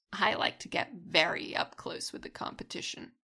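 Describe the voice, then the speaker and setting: A raspy, put-on character voice carries a menacing tone at a moderate pace. Its loudness swings widely. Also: woman, fairly high pitch for a woman. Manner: teasing, playfully menacing.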